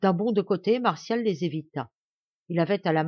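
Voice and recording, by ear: The speaker is reading aloud in a natural voice, with a quiet background.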